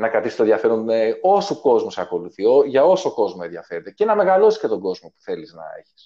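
A man talks at a very fast pace. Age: 40s. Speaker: musician. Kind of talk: casual chat.

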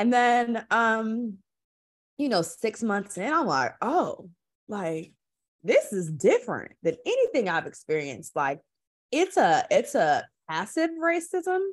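Her pitch fairly high, a woman speaks at a very slow pace with very wide pitch swings. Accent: American. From Milwaukee, Wisconsin. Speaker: community organizer. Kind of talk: casual chat.

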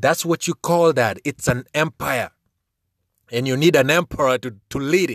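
A man speaks in an animated, energetic tone at a moderate pace, his pitch fairly high with ordinary variation. The sound is dry and close, with no echo. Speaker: radio show host. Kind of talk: rally speech, a fiery call to action urging young people to unite and change Africa. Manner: animated, emphatic and urgent, repeating phrases for punch; casual and slangy, loud and energetic, pleading directly to the listeners.

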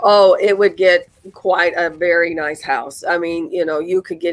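A woman with a Southern US accent talks at a fairly slow pace and fairly low pitch. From US South, northern Mississippi. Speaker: realtor. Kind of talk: casual interview.

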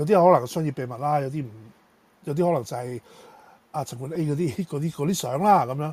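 This very clean recording with a silent background captures a man's dark, mellow tone, somewhat breathy and fairly high in pitch. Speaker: tech podcast co-host. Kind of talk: casual chat.

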